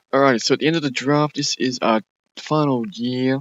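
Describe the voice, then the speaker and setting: A man with an Australian accent talks at a fairly quick pace. The background is quiet. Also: dry, close sound with no echo. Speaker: gaming YouTuber. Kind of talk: gameplay commentary. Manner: fast; casual, halting with fillers.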